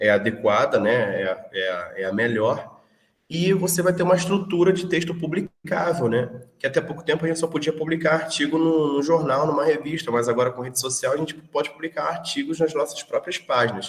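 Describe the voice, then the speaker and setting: A man's fairly high, lively voice with vocal fry at a fairly quick pace. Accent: Rio de Janeiro. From Brazil, Rio de Janeiro (until 14). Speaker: teacher. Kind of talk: online lecture. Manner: hesitant, repeats words.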